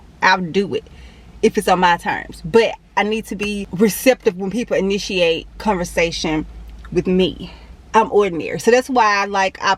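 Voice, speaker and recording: Medium pitch from a woman, with ordinary variation in pitch. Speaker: fitness vlogger. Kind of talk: casual vlog monologue. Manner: fast.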